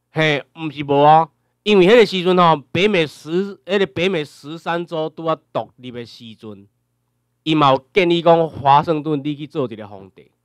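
A man's unremarkable speaking voice at a fairly high pitch and moderate pace, with ordinary pitch variation, big swings in loudness, and a dry, close sound with no echo over a quiet background. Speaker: lecturer. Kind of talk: lecture. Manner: filler-heavy, repetitive tag questions.

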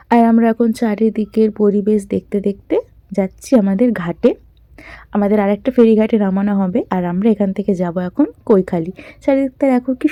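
A woman's fairly high voice has a dark, mellow tone in a dry, close sound with no echo. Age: 20s. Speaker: travel vlogger. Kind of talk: travel vlog narration. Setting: outdoors on a river launch trip. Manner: animated.

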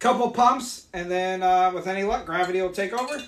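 A high male pitch with a fairly bright tone

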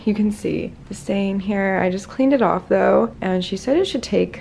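A woman speaks at a moderate pace. Light background noise sits behind her. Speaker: vlogger. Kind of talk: casual vlog chat. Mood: cheerful, light laughs. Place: home room. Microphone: phone near.

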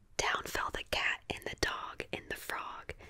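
A woman whispers at a fairly slow pace. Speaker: ASMR creator. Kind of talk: storybook reading aloud. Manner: soft, hushed ASMR storytelling voice. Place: home room. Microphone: studio mic.

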